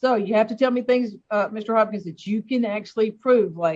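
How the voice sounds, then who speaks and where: A woman speaks with an American accent. Her pace is moderate and her pitch variation ordinary. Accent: Southern US accent, says she doesn't hear it. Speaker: judge. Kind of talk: court hearing. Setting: video call.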